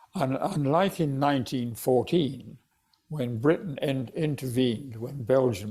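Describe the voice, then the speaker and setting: A somewhat breathy man, dark and mellow in tone, at a fairly slow pace. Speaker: retired judge and author. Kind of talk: interview answer.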